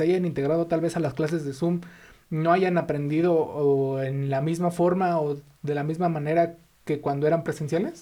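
Over noticeable background noise, a man talks at a moderate pace in a fairly high, monotone voice with flat intonation. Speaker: podcast host. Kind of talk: interview.

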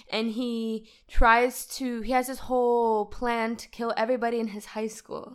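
A woman's flat, monotone delivery at a fairly slow pace, with big swings in loudness. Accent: American. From United States. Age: 40s. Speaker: guest friend. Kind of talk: casual chat.

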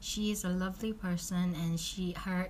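Somewhat breathy, a woman speaks at medium pitch and a moderate pace. Her intonation is monotone and flat. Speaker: podcast host. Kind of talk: casual podcast talk.

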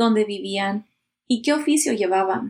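A woman talks at a fairly slow pace at a medium pitch. She has a plain, everyday voice. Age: 30s. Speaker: podcast host. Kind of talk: scripted narration.

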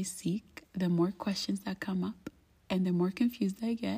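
Somewhat breathy, a woman talks at a medium pitch and a moderate pace. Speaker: podcast host. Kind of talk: spiritual monologue. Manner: hesitant with fillers.

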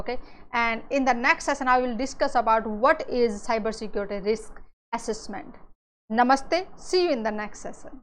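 A woman with an Indian accent speaks at a moderate pace in a high voice with ordinary pitch variation. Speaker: cybersecurity educator. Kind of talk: lecture. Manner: frequent fillers and repetitions.

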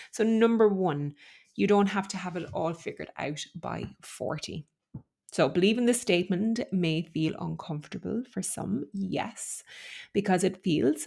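In a very clean recording with a silent background, a woman speaks at a moderate pace with a fairly low pitch, a dark, mellow tone, vocal fry and ordinary pitch variation. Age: 40s. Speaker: podcast host. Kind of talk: solo monologue podcast.

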